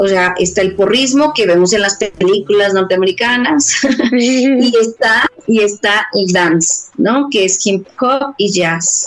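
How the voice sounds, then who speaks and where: A woman speaks at a medium pitch and a very slow pace. Noticeable background noise can be heard. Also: ordinary pitch variation, very even loudness. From Mexico City. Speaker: dance movement therapist and dance company director. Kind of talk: interview.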